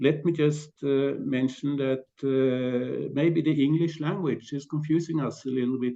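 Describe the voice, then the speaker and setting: Fairly even intonation and a fairly slow pace mark this speaker with a Norwegian accent. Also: man. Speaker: panelist. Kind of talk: panel discussion. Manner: halting.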